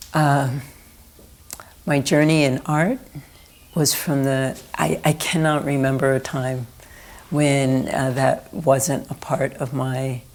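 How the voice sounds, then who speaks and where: Very deep and low in pitch, a woman with an American accent speaks very slowly with fairly even intonation and long, frequent pauses. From US East Coast, Philadelphia. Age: 60s. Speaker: artist. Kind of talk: oral history interview. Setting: indoor recording room.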